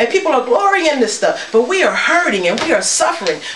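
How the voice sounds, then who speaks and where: Very wide pitch swings amid audible room echo and light background noise. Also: woman. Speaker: church elder preaching. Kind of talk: sermon. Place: home room. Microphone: camera far.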